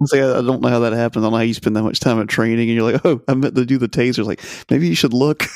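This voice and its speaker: At a very fast pace, a man talks at a medium pitch with fairly even intonation. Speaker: writer and YouTube content creator. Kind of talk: casual chat.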